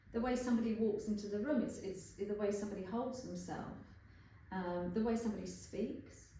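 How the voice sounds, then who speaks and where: Through audible room echo, a woman with a London accent speaks fairly quickly at medium pitch in a dark, mellow tone with vocal fry and fairly even intonation. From London, England. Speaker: bodywork therapist. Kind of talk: interview. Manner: fast.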